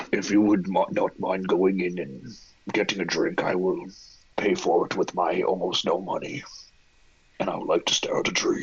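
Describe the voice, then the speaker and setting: In a put-on character voice, a man talks at a moderate pace with long, frequent pauses. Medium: actual play. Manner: formal, measured, deadpan.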